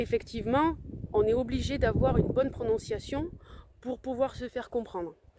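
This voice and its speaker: The speaker has a strong Provençal accent and ordinary pitch variation, talking at a moderate pace. Noticeable background noise sits under the voice. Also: woman, high pitch for a woman. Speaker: language-learning coach. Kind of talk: casual vlog talk. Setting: outdoors on the beach. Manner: halting, many hesitations.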